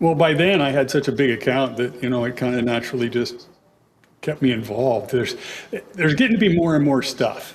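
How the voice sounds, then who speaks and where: With an unremarkable speaking voice, a man delivers his words fairly quickly, pitched in the middle range with normal variation. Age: 60s. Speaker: online game player guest. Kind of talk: casual chat.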